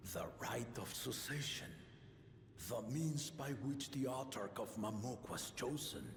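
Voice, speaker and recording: Putting on a character voice at medium pitch, a man speaks at a fairly slow pace with a slight echo and clear background noise. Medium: video game. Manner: commanding, formal.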